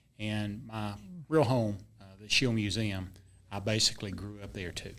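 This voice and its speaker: With an American accent and fairly even intonation, a man talks at a moderate pace and a fairly low pitch, his loudness swinging widely amid audible room echo. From North Carolina, Gaston County. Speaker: museum staff. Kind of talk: podcast interview.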